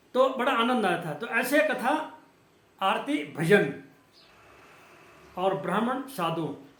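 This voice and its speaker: A man speaks at an extremely high pitch with very wide pitch swings, with audible room echo and noticeable background noise. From Uttarakhand, India. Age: 60s. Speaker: religious vlogger. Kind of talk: religious monologue. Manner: halting.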